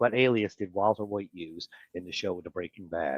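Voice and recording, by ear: The sound is dry and close with no echo as a man speaks in a Newfoundland accent.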